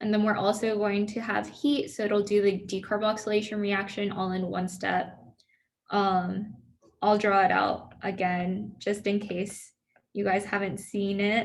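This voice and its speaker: The voice is somewhat breathy and monotone, with flat intonation, moving at a fairly slow pace amid audible room echo. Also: woman, medium pitch for a woman. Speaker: student peer tutor. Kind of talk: review session lecture. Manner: casual, filler-heavy.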